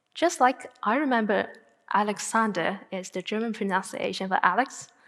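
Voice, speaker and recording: A woman with a Chinese accent talks at a moderate pace in a fairly high voice with lively intonation. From northern China, Tianjin. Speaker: graduate student speaker. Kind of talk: TED-style talk.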